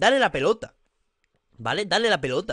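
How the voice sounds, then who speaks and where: Against a quiet background, a man talks at a fairly quick pace with very wide pitch swings in a dry sound with no echo. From Spain. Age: 30s. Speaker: football youtuber. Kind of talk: casual commentary vlog. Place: home room. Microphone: studio mic.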